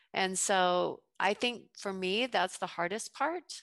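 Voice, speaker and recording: In an unremarkable speaking voice with an American accent, a woman talks at a fairly slow pace with ordinary pitch variation, over a quiet background, in a dry, close sound with no echo. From US South, Georgia (Fayette County). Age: 50s. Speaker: entrepreneur, juice bar owner. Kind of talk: interview.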